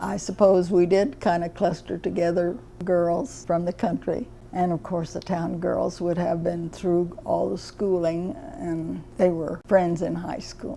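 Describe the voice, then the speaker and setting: A woman's fairly low voice with an American accent, fairly even intonation and a fairly slow pace, over noticeable background noise. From Kansas, rural farm. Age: 80s+. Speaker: elderly local resident. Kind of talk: personal reminiscence.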